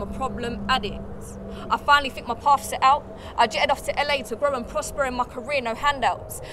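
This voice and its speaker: Noticeable background noise sits behind a woman's voice. She speaks at a fairly quick pace in a high pitch. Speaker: spoken word artist, actress. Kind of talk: spoken word poetry performance.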